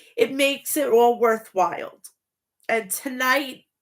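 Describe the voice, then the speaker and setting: A woman speaks at a high pitch. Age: 40s. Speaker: wrestling show reviewer. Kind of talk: casual review monologue. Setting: home, seated. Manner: animated.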